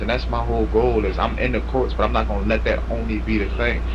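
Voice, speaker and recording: Noticeable background noise is present, and room echo can be heard too. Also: man. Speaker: incarcerated man claiming innocence. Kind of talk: casual chat. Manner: quiet-spoken; halting.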